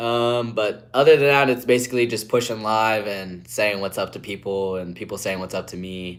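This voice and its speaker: Speaking with an American accent, a man keeps a moderate pace with hardly any pauses, using a fairly low pitch and ordinary pitch variation. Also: big swings in loudness. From West Virginia, Appalachia. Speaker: streamer. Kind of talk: live stream chat. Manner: casual, filler-heavy.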